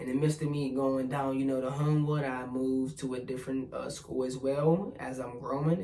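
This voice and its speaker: Talking with an American accent at a moderate pace, a man keeps a medium pitch and fairly even intonation, with audible room echo. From US, Pittsburgh, Pennsylvania. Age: 20s. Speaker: spiritual vlogger. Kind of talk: casual personal vlog monologue.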